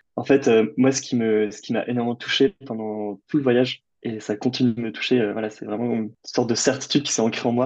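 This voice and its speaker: This man speaks at a moderate pace with hardly any pauses. His medium-pitched voice keeps fairly even intonation. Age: 20s. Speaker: adventurer and author. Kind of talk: interview. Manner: hesitant, many fillers.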